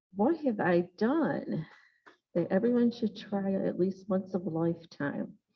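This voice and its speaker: A woman's somewhat breathy voice at a fairly slow pace, with lively intonation and very even loudness. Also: medium pitch for a woman. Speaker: toastmasters club member. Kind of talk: impromptu speech.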